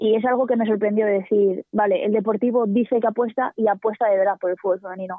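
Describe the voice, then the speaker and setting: Pitched fairly high, a woman talks at a very fast pace. Her intonation stays monotone and flat. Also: hardly any pauses. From Asturias, Spain. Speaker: professional footballer. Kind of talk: radio interview.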